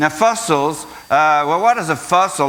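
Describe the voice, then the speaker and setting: Against noticeable background noise, a man with an Australian accent talks at a fairly high pitch with ordinary pitch variation. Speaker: creation science speaker. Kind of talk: school presentation. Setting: school assembly with audience.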